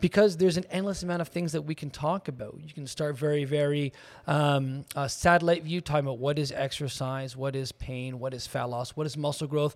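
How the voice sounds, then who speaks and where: With an unremarkable speaking voice, a man talks at a fairly high pitch with fairly even intonation and hardly any pauses, in a very clean recording with a silent background. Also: fairly quick pace. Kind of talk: casual business chat.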